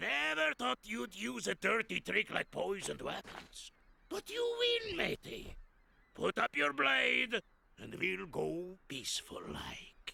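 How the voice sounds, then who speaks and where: A man puts on a cartoonish character voice. He speaks at a fairly slow pace. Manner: salty pirate slang, hearty.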